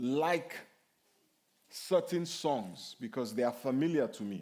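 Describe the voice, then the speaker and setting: A man speaks in a Nigerian accent at a fairly slow pace. His pitch swings very widely. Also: very clean recording, silent background. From Nigeria (Yoruba). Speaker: pastor. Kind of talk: sermon Q&A. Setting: church.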